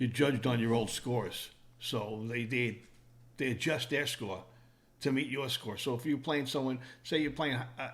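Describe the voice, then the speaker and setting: Audible room echo surrounds a man talking at a moderate pace. His pitch is medium and his intonation fairly even. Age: 60s. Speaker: podcast guest, friend of host. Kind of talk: casual chat.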